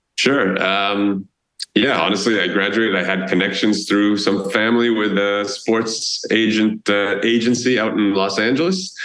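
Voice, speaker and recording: A man with an American accent speaks at a moderate pace and a fairly low pitch, his intonation fairly even. His loudness is very even, and there is audible room echo. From Boston area, US. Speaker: travel blogger and tour founder. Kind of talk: podcast interview.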